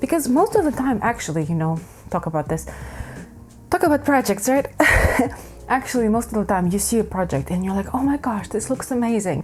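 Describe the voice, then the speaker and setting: With music in the background, a woman speaks fairly quickly at a fairly high pitch, her voice making very wide pitch swings between long, frequent pauses. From Ukraine. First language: Ukrainian or Russian. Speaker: crafting YouTuber. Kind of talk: casual vlog chat. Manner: casual, self-correcting.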